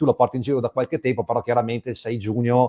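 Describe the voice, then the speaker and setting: A man's very fast speech, dark and mellow in tone, with a dry, close sound and no echo. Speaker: journalist. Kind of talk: interview question.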